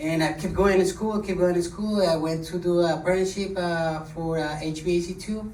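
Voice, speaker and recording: Speaking at a moderate pace, a man uses a high pitch and fairly even intonation. Audible room echo surrounds the voice. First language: not English. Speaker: HVAC technician, scholarship recipient. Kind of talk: short speech. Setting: podium with audience. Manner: halting.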